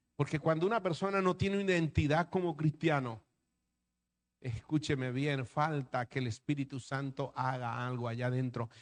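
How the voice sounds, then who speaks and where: This man has an unremarkable speaking voice, fairly high in pitch with ordinary variation. He talks at a fairly slow pace against a quiet background. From Colombia, Atlantic coast. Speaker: pastor. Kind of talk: sermon.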